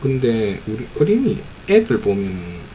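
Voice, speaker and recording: With a strong Gyeongsang accent, a man speaks in very wide pitch swings amid noticeable background noise and audible room echo. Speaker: amateur YouTuber commenting on videos. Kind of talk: casual commentary on a film. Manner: casual, hesitant with fillers.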